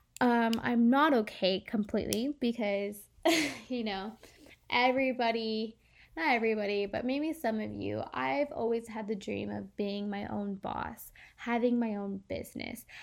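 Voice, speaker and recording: A woman's fairly high-pitched voice, a plain, everyday voice, with ordinary pitch variation at a fairly slow pace. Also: very clean recording, silent background. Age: 20s. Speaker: podcast host. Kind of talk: casual monologue. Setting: recording alone late at night. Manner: rambling, filler-heavy.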